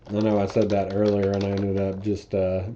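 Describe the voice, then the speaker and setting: A man speaks at a moderate pace in a fairly low voice. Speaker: programming tutorial creator. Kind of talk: coding tutorial.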